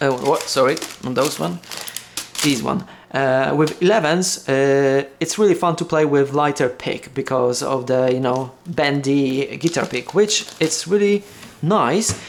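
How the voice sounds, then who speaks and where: A fairly slow delivery in a Polish accent. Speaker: guitar hobbyist video creator. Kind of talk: casual unboxing monologue. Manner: halting, many fillers and restarts.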